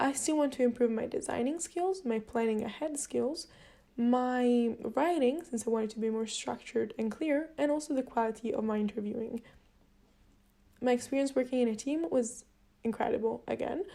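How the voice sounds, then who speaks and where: A woman's high-pitched voice with a dark, mellow tone and a non-native accent. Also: ordinary pitch variation, moderate pace. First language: not English. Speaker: university student. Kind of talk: video reflection log. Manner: slightly halting, with fillers.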